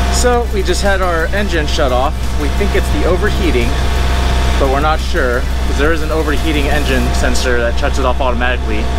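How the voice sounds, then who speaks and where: Over background music, a man talks at a fairly quick pace in a dry sound with no echo. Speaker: sailing vlogger. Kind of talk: casual vlog chat. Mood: relaxed despite engine scare. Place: boat. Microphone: phone near.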